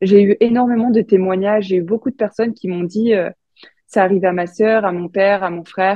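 A woman's ordinary speaking voice at medium pitch, fairly quick in pace, with fairly even intonation. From France, Franche-Comté. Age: 20s. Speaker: Olympic short track speed skater. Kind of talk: interview.

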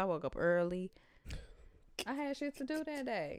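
Loud and clear of any background sound, a woman speaks in a very clean recording with a silent background. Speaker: podcast co-host. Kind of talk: casual chat.

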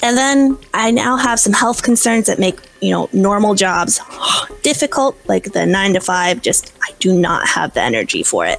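With an American accent, a woman talks at a moderate pace in a fairly high pitch, her intonation lively and her loudness very even, over noticeable background noise. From US Midwest. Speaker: online language teacher and author. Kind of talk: casual interview.

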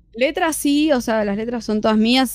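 A woman with a Rioplatense accent, at a moderate pace with ordinary pitch variation. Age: 20s. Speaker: rock band singer. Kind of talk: radio interview.

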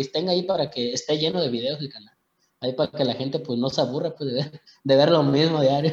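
Fairly quick and somewhat breathy, a man talks at a fairly high pitch. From Mexico. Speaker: singer. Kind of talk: interview. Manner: halting.

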